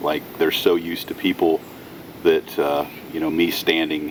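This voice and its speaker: Noticeable background noise sits behind a man who speaks fairly slowly. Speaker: tow truck operator. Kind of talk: casual tutorial. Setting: outdoors.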